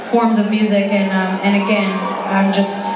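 Crowd noise fills the background as a woman speaks amid audible room echo. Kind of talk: onstage banter to the audience. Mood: warm, grateful. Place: stage. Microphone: pa.

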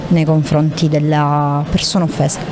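A woman talks at a fairly slow pace with light background noise behind her. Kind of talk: interview answer. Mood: calm, earnest. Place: hall. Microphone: handheld.

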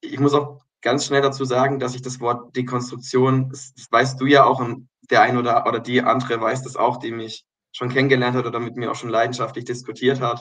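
A man speaks fairly quickly at a medium pitch, with monotone, flat intonation and big swings in loudness, over a quiet background. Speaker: kindergarten director, religious education graduate; podcast guest. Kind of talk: casual interview. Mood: reflective, earnest. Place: home room. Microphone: video call.

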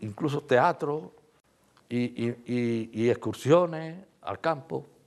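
This is a man speaking. His intonation is lively. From Andalusia, Spain (Osuna, Sevilla). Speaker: former factory worker and anti-Franco activist. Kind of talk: oral history interview. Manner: halting, with repetitions.

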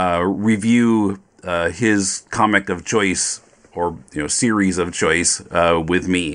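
Very slowly, a man talks with a very deep, low pitch and fairly even intonation. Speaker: podcast host. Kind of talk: casual chat.

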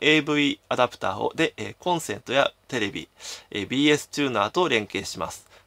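The voice has vocal fry and moves at a moderate pace against a quiet background. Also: man. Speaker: game collector YouTuber. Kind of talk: solo commentary video. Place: home room. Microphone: phone near.

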